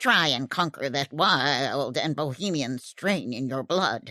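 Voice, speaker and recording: A woman puts on a character voice, very deep and low in pitch, at a fairly slow pace. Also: very clean recording, silent background. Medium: read story.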